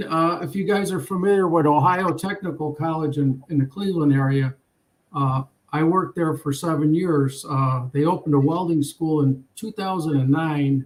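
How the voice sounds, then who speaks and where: A man with a normal speaking voice, fairly high-pitched, at a moderate pace and with ordinary pitch variation. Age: 60s. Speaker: retired welding instructor. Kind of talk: casual chat. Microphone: school laptop.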